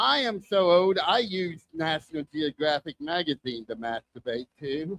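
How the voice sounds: A man speaks at a moderate pace with a fairly high pitch and ordinary pitch variation. His tone is fairly bright, and the sound is dry and close with no echo.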